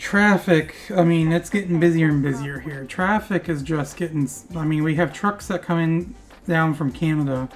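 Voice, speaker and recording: Music plays in the background as a woman speaks in a fairly low pitch. Her pace is moderate, with ordinary pitch variation. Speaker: gaming video creator. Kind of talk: gameplay commentary. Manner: casual, rambling.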